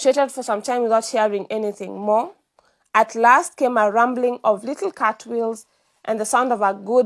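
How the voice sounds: The delivery is a natural reading voice. Its intonation stays fairly even over a silent background.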